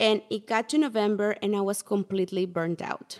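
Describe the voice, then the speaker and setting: A woman talks in a fairly high pitch with a Spanish accent. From Mexico. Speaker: portrait photographer, former teacher. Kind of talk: interview.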